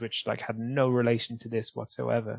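This man has a Welsh accent and a medium pitch. He talks at a moderate pace. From South Wales. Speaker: comedian. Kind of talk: casual chat.

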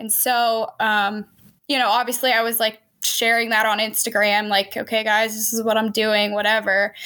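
In an American accent, a woman speaks at a moderate pace with a fairly high pitch, a bright, sharp tone and monotone, flat intonation. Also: very clean recording, silent background. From Pennsylvania. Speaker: hunter and outdoor filmmaker. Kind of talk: casual chat.

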